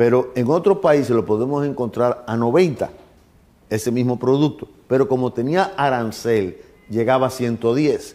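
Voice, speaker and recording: A man speaks in a dark, mellow tone. His pace is fairly slow, with ordinary pitch variation. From Dominican Republic. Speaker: government minister; interviewee. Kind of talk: TV interview. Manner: halting, with fillers. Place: office. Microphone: lapel.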